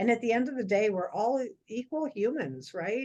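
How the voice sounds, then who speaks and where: This woman has an unremarkable speaking voice, fairly high in pitch. She talks at a moderate pace with lively intonation. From Toronto, Canada. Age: 50s. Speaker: support group co-host. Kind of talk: casual livestream introduction. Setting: video call.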